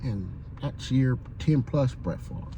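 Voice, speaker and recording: Breathiness runs somewhat through a man's dark, mellow tone. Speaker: sports fan vlogger; military veteran. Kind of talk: casual monologue vlog. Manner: halting, stuttering.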